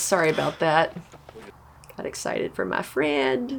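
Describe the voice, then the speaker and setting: A woman speaks loudly. Her pace is fairly slow. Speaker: disc golf commentator. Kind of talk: live commentary. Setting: outdoors. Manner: loud, excitable.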